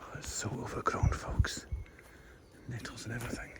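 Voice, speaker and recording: Someone whispers at a fairly quick pace amid noticeable background noise and audible room echo. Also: man. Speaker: walking vlogger. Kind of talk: casual vlog narration. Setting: outdoors. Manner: whispering.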